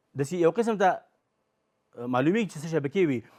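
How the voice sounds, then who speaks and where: Racing along at a very fast pace, a man sounds animated, with lively intonation over a quiet background. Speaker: quiz show host. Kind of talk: game show hosting.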